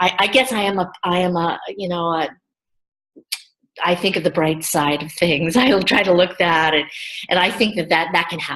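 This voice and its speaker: With an American accent, a woman speaks at a moderate pace and a fairly low pitch, using ordinary pitch variation and long, frequent pauses. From US Midwest, small-town Ohio. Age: 60s. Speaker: workshop participant. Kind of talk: online workshop discussion. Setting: video call. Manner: halting, many repetitions.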